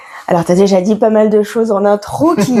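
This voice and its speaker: A woman talks with a fairly high voice while noticeable noise sits in the background. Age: 40s. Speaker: comedy school director and stage director. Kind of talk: podcast interview.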